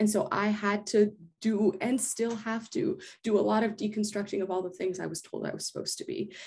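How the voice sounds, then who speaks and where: Ordinary pitch variation at a fairly quick pace. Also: woman, fairly high pitch for a woman. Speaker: guest speaker on faith podcast. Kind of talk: podcast conversation. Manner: loud.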